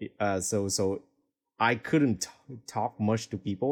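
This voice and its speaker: A man with a Vietnamese accent speaks at a moderate pace in a fairly low pitch. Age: 20s. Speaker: DJ and music producer. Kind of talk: interview.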